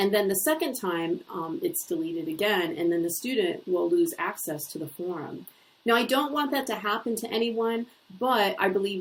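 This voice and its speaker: Ordinary pitch variation runs through speech delivered at a moderate pace. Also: woman. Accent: Ohio. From US Midwest, Northeast Ohio. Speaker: university lecturer. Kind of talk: course introduction video. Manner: conversational with filler words.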